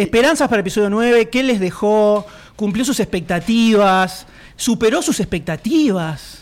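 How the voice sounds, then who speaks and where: Speaking with a Rioplatense accent, a man uses a high pitch and lively intonation. His loudness stays very even at a fairly slow pace. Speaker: podcast host. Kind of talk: live podcast panel chat before audience. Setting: stage with live audience.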